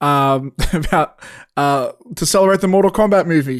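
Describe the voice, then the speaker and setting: A man with an Australian accent talks over a quiet background. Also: dry, close sound with no echo. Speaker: podcast co-host and filmmaker. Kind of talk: casual chat.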